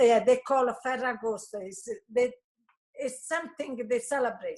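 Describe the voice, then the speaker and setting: A woman with a high-pitched voice and an Italian accent. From Italy. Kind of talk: interview answer.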